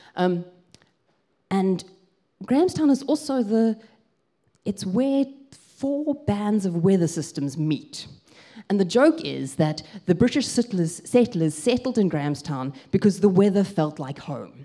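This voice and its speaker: Speaking with a South African accent, a woman uses very wide pitch swings and a dark, mellow tone, moving at a fairly slow pace with long, frequent pauses. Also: medium pitch for a woman. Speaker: pastor. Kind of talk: sermon. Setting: church.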